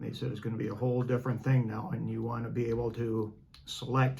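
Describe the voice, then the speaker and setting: Amid noticeable background noise and audible room echo, a man of medium pitch speaks very fast with fairly even intonation. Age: 70s. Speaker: retired businessman and former teacher. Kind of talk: interview. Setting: in person, travelling in England. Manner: halting.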